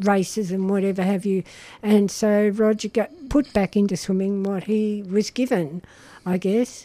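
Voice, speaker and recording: Speaking fairly slowly, a woman has a dark, mellow tone, a medium pitch and fairly even intonation. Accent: Australian. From Melbourne, Australia. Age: 70s. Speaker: retired gardener and volunteer. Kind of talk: casual chat.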